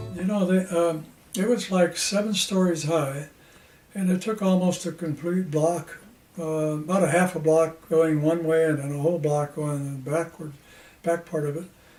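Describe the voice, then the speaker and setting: There is noticeable background noise behind a man's voice. He speaks at a high pitch with fairly even intonation. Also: moderate pace. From Ohio, USA. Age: 80s+. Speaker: retired sales engineer. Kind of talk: interview answer.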